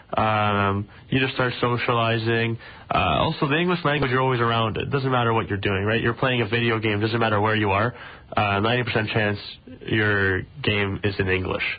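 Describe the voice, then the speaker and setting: Over noticeable background noise, a man talks at a fairly quick pace with medium pitch, ordinary pitch variation and very even loudness. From Israel, then Richmond Hill, Ontario from about age 10. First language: Russian. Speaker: junior hockey player. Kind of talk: radio interview. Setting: radio studio. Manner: casual, many fillers.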